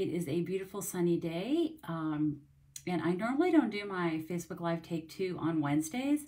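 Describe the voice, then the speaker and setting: A woman talks at a moderate pace over a quiet background. Her intonation is lively. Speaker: craft demonstrator. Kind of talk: casual livestream chat. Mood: cheerful, friendly. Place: home room. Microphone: phone near.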